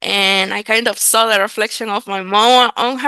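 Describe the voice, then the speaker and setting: Bright and sharp in tone, a woman's voice sits at a fairly high pitch. She keeps a moderate pace and fairly even intonation. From Nicaragua. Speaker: real estate entrepreneur. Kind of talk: podcast interview.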